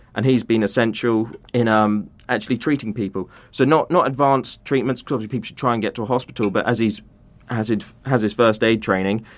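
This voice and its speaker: Talking very fast, a man uses a medium pitch and fairly even intonation with a British accent. The recording is very clean with a silent background. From UK. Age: 20s. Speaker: aid charity founder. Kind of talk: interview.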